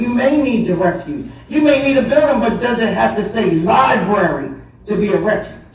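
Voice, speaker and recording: The speaker has an American accent and an animated tone, moving at a fairly slow pace. Background noise is noticeable. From Bridgeton, New Jersey (US). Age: 60s. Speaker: public commenter, former school board member. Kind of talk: public comment at council meeting. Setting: council meeting with audience. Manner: halting with repetitions.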